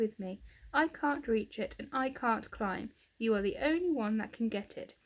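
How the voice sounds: Someone reads aloud in a natural voice.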